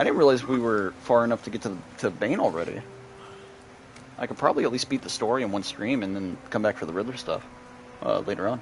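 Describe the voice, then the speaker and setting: Noticeable background noise accompanies a man at medium pitch with ordinary pitch variation. He talks very fast but leaves long, frequent pauses. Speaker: gaming streamer. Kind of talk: live gameplay commentary. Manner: animated.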